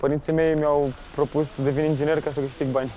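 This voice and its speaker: Noticeable background noise behind a flat, monotone delivery. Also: man. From Romania, Bucharest. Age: 20s. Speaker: documentary interviewee, young Romanian. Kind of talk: testimony. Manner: halting.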